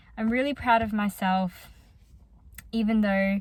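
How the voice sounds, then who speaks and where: A woman speaks in an Australian accent at a medium pitch. Her voice is somewhat breathy. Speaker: psychology student vlogger. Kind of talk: casual vlog talk. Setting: in a car.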